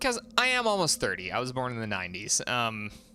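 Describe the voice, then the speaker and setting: Over music in the background, a man speaks at medium pitch with very wide pitch swings. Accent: American. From US West, southeast Idaho (Pocatello). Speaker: gaming streamer. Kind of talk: casual live stream chat.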